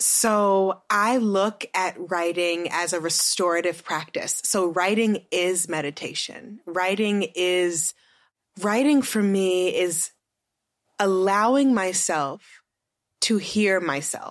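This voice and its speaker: A woman at medium pitch with ordinary variation, speaking at a very slow pace on a very clean recording with a silent background. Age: 30s. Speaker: author and writing teacher. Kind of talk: interview conversation.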